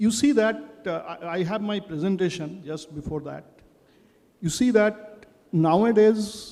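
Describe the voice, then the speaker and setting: A man's high-pitched voice at a fairly slow pace, with ordinary pitch variation, big swings in loudness, and noticeable background noise. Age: 60s. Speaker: manufacturing plant head. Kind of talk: panel talk.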